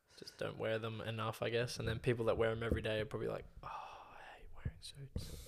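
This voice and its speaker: Very fast speech from a man with an Australian accent, hardly any pauses and big swings in loudness. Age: 20s. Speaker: podcast co-host. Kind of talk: casual chat.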